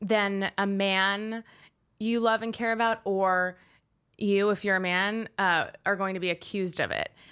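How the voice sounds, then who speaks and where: Recorded very cleanly against a silent background, a woman speaks with an American accent at a moderate pace. Hers is an ordinary speaking voice with fairly even intonation. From Westchester, New York. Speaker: author. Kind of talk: casual chat.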